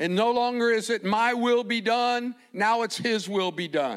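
A man is speaking here. His pitch is extremely high. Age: 60s. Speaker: preacher. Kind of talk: sermon. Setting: church.

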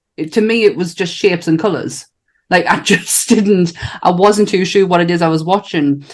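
Here is a woman with an unremarkable speaking voice. Her pitch is fairly low, with ordinary variation. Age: 40s. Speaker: podcast host. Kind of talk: casual chat.

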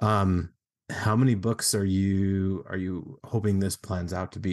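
Against a quiet background, a man speaks in a very deep, low pitch. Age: 30s. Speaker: podcast host. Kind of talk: interview. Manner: casual, many filler words.

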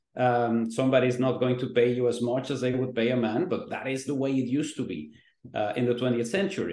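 Talking at a very fast pace, a man with a medium pitch and a dark, mellow tone uses ordinary pitch variation in a room with audible echo. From Mexico. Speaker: pollster and newspaper columnist. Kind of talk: interview.

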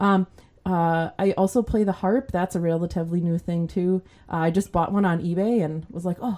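In an American accent, a woman with a fairly low pitch and a dark, mellow tone speaks at a moderate pace. Her intonation is fairly even, though her loudness swings widely. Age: 40s. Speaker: church musician and singer. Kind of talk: casual interview chat.

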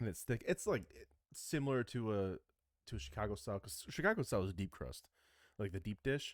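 A man with an American accent talks at a fairly quick pace and fairly low pitch, with vocal fry and very wide pitch swings. His loudness swings widely, and the sound is dry and close with no echo. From Michigan. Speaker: podcast co-host. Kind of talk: casual chat; news reading.

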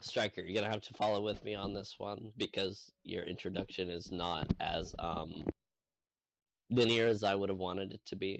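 Male voice, fairly low in pitch, monotone and flat, at a moderate pace. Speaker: tabletop game master. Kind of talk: role-play game narration. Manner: rambling.

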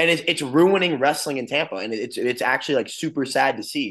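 Speaking at a fairly quick pace, a man has a medium pitch, a fairly bright tone and ordinary pitch variation.

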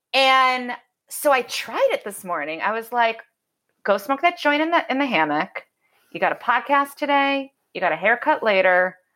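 At a moderate pace, a woman speaks in a high, bright and sharp voice with very wide pitch swings. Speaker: podcast host. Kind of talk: casual interview chat.

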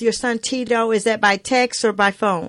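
A plain, everyday voice from a woman with an American accent, fairly high pitch, fairly even intonation and a moderate pace. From US South. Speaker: radio host. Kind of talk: radio interview, warm and faith-filled. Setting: radio studio, guest on phone. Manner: warm, effusive, encouraging.

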